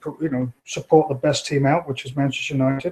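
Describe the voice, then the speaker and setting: A man speaks with a strong British accent. His pace is fairly quick. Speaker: executive recruiter, firm owner. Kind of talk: interview. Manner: halting, many fillers.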